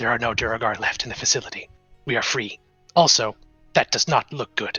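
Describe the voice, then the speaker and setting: A man's put-on character voice at medium pitch and a fairly quick pace, with faint music in the background. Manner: whispering.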